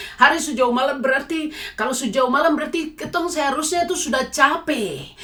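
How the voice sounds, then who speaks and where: Against noticeable background noise, a woman with a Papuan accent talks at a fairly quick pace in a high pitch with ordinary pitch variation. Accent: Papuan Indonesian. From Papua, Indonesia. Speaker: lay evangelist giving testimony. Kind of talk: testimony. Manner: preachy exhortation.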